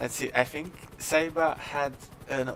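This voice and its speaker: Noticeable background noise runs through the clip. A man talks with fairly even intonation. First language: not English. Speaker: esports race commentator. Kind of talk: live commentary.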